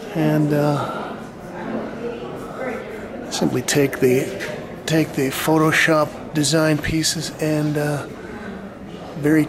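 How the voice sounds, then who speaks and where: A very slow pace amid noticeable background noise. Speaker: painter reviewing an art show. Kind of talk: commentary. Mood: wry, critical. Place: hall. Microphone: phone near.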